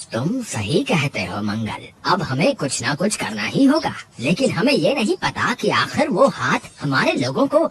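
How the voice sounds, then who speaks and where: A man's put-on character voice, high in pitch. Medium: audio drama.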